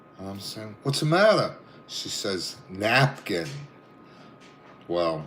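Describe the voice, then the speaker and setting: With a Brooklyn accent, a man speaks at a very slow pace in a fairly low pitch, his voice swinging very widely and broken by long, frequent pauses, with audible room echo around him. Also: big swings in loudness. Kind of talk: casual chat, telling anecdotes. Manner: animated.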